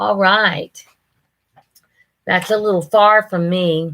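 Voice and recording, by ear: A woman speaks slowly at a medium pitch, her tone fairly bright and her intonation fairly even.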